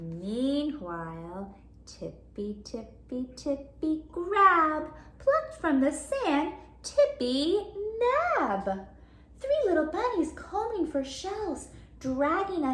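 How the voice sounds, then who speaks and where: A woman's put-on, squeaky character voice, high in pitch and very slow, over light background noise. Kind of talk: bedtime story. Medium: read story. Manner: animated, sound effects.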